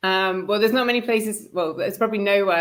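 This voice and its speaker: A woman speaks with a British accent. Her pitch varies in an ordinary way. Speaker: media and events managing director. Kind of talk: interview chat. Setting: live online stream.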